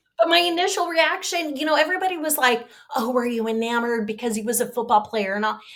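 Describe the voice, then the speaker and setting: A woman talks at a very fast pace in a high pitch. Her intonation is lively. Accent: American. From Southern California, US. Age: 50s. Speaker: victim's sister, speaker on depression. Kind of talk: casual interview chat.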